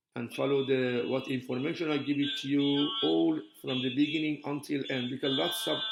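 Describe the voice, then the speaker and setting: Music plays in the background as a man at medium pitch speaks with very wide pitch swings and hardly any pauses. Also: moderate pace. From Iran. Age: 70s. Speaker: calligrapher. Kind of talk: tutorial.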